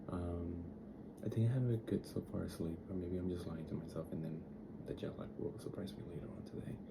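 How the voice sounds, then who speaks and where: A soft-spoken voice with a gentle tone moves at a fairly quick pace and ordinary pitch variation. Audible room echo surrounds it. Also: man, very deep, low pitch for a man. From Dominican Republic. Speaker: travel vlogger. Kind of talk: casual vlog. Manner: soft, gentle; chatty, rambling with fillers.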